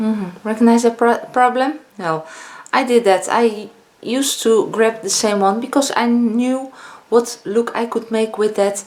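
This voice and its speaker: Speaking with a Dutch accent, a woman talks at a fairly slow pace and fairly high pitch. Her pitch varies in an ordinary way, and background noise is noticeable. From Netherlands. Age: 50s. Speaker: beauty vlogger. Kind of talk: casual vlog talk. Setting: home, filming with ring light.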